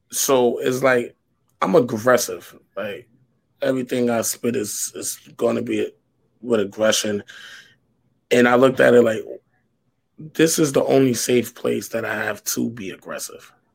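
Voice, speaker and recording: An American-accented man at a moderate pace, with long, frequent pauses and big swings in loudness. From US Northeast, New York. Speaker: spoken word poet. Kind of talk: casual interview. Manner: aggressive, forceful delivery.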